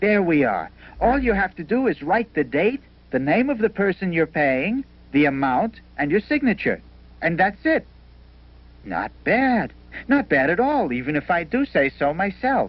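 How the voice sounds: A man puts on a cartoonish character voice, pitched high and swinging widely up and down. He talks at a fairly slow pace.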